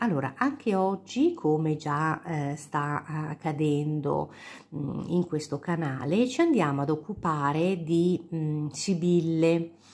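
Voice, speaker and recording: Speaking at a very slow pace, a woman with a very deep, low pitch uses ordinary pitch variation and a calm tone. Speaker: cartomancer, tarot and sibyl card reader. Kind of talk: casual talk to camera, card reading. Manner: soft-spoken, calm.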